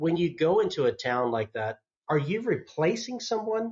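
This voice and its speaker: A man with an American accent speaks at a moderate pace, his intonation lively. His voice is somewhat breathy. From US South, North Georgia. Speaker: podcast host. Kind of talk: interview.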